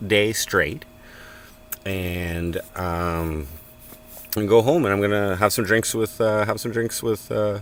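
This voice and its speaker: A man with a Canadian accent, fairly low-pitched, with ordinary pitch variation and noticeable background noise. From Canada, Cornwall, Ontario. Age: 40s. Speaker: live streamer. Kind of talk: casual chat. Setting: in a tent at a farm work site.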